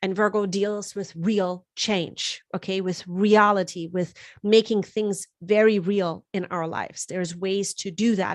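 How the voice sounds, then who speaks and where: Against a quiet background, a woman speaks with a German accent at a fairly slow pace. Her pitch is medium and her intonation fairly even. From Germany. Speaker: astrologer and tarot reader. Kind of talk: live-stream forecast talk. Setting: live stream. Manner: casual, with fillers and repetitions.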